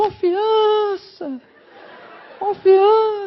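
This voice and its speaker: This squeaky, put-on character voice sits at an extremely high pitch. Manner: booming, cinematic.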